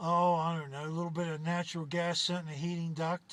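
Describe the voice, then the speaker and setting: A man's high voice at a fairly quick pace. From West Virginia, Appalachia. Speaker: aircraft inspector and pilot. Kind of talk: interview storytelling. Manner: hesitant, many fillers.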